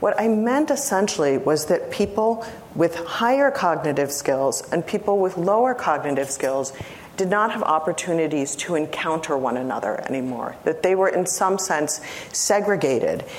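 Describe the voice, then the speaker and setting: A woman with a fairly low pitch talks at a moderate pace, her pitch swinging very widely while her loudness stays very even, amid noticeable background noise. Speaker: lecturer. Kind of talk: academic lecture response. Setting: lecture hall with audience.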